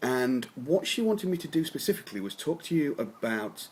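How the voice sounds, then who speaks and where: Noticeable background noise sits under the speech. A man with an English accent talks with lively intonation. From England. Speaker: copywriter. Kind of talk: talking-head advice video. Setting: home office. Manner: hesitant, many fillers.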